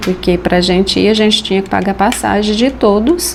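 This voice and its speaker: A woman talks at a moderate speed and a medium pitch, her pitch moving in an ordinary way, while noticeable noise sits in the background. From Brazilian Northeast, Rio Grande do Norte; moved to Goiás at 9. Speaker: craftswoman. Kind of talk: personal life story interview.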